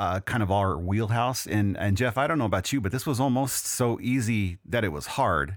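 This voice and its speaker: A man with an American accent and a normal speaking voice, fairly low in pitch with ordinary pitch variation, at a fairly quick pace in a very clean recording with a silent background. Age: 40s. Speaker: podcast host, music writer. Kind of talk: casual chat.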